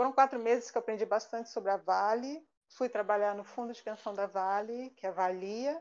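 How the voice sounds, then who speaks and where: A woman speaks with a plain, everyday voice at a fairly high pitch, showing ordinary pitch variation. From Rio de Janeiro, Brazil. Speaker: statistician and university lecturer. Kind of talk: casual chat. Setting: live online stream.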